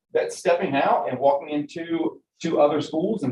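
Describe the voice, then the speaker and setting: With an American accent, a man speaks at a moderate pace and a fairly high pitch. His voice is somewhat breathy, with ordinary pitch variation. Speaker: state education official, former school educator. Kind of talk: committee meeting presentation. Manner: casual, filler-heavy.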